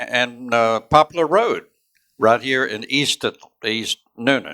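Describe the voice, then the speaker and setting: Someone with a coastal Georgia accent speaks at a very slow pace but with lively intonation. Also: man. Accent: US Southern (coastal Georgia). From US South, Georgia (Savannah area). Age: 70s. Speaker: congressional candidate, Vietnam veteran. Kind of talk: candidate forum speech.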